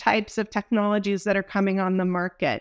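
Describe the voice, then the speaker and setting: A woman with an American accent has an unremarkable speaking voice at a medium pitch, talking at a fairly quick pace in a very clean recording with a silent background. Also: dry, close sound with no echo. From Texas. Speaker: energy industry executive. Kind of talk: interview.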